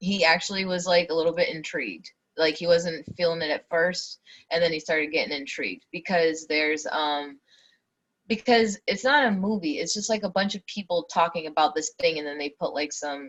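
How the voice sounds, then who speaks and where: Speaking at a fairly quick pace, a woman with a southeastern New England accent has a fairly low pitch. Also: ordinary pitch variation. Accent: southeastern New England (Boston-area type). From New Bedford, Massachusetts. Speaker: podcast co-host. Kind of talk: casual chat. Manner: animated.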